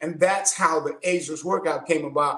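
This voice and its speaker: This is a man's voice. It sits high in pitch. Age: 60s. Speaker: fitness coach. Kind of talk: interview.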